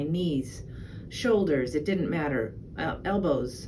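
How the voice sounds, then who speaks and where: There is audible room echo as a woman talks at a fairly slow pace with ordinary pitch variation. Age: 60s. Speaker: patient giving testimonial. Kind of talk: testimony. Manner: halting, many fillers.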